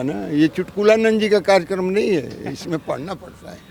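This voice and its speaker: A man with a high-pitched voice is heard over noticeable background noise. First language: Bhojpuri (speaking Hindi). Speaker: Vedanta professor. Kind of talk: interview. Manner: emphatic.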